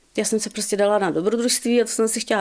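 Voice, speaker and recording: Over a silent background in a very clean recording, a woman speaks at a very fast pace with a fairly high pitch and a dark, mellow tone. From South Bohemia, Czech Republic. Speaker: former bridal salon owner. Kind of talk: radio interview. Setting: radio studio.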